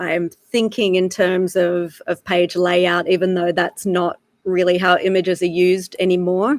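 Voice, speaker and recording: In a dry, close sound with no echo, a woman speaks at a fairly slow pace and a medium pitch with monotone, flat intonation. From Australia. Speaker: wildlife photographer. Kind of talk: live online talk.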